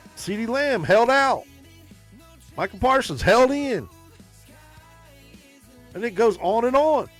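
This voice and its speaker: Over music in the background, a man speaks at a fairly slow pace in an extremely high pitch, with long, frequent pauses. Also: ordinary pitch variation. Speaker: sports podcast host. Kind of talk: casual talk to camera.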